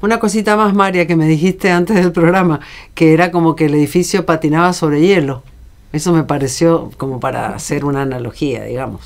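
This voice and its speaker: A woman with a normal speaking voice talks at a fairly quick pace, her fairly low pitch moving with ordinary variation. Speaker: radio interviewer. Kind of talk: radio interview.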